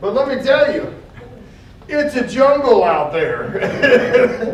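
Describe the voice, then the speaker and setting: Against noticeable background noise and audible room echo, a man speaks with lively intonation. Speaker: state attorney general's public outreach coordinator. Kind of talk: public talk.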